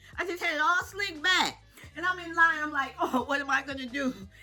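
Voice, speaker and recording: Music plays in the background as a woman speaks in a raised, projected voice at a moderate pace. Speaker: senior lifestyle vlogger. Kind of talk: casual storytelling to camera. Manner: animated, humorous.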